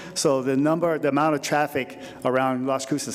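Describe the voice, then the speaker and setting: Against noticeable background noise, a man at medium pitch talks at a fairly quick pace. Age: 60s. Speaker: planning commissioner. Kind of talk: public meeting comment. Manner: halting, many fillers and repeats.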